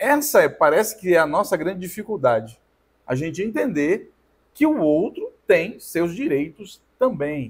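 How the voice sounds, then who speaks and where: Speech unfolds fairly slowly. Its pitch rises and falls very widely. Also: man, high pitch for a man. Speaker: podcast co-host. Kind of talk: casual chat. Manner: loud.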